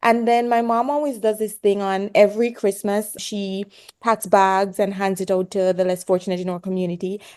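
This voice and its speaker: The speaker has a Jamaican accent, heard against a quiet background. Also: woman. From Jamaica, rural Hanover. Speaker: pediatrics resident doctor. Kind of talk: podcast interview. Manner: animated.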